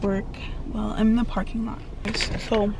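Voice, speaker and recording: Over noticeable background noise, a woman talks at a fairly quick pace with ordinary pitch variation. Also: dry sound with no echo. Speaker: vlogger. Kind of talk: casual vlog chat. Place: car. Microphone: phone near.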